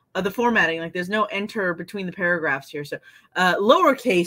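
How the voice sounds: Here is a natural reading voice. The pitch varies in an ordinary way.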